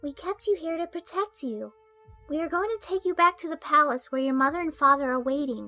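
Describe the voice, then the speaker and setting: A woman's high-pitched, put-on character voice at a fairly quick pace, with faint music in the background. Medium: audio drama. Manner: bright, energetic.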